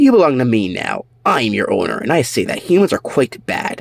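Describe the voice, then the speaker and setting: Putting on a character voice, a man talks at a fairly quick pace in a fairly high pitch. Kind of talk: posh. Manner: haughty, superior.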